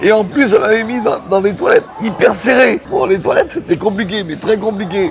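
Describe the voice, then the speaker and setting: Music plays behind a man who talks fairly quickly. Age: 60s. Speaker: wheelchair user, street vendor. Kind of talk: interview testimony. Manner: halting, repetitive.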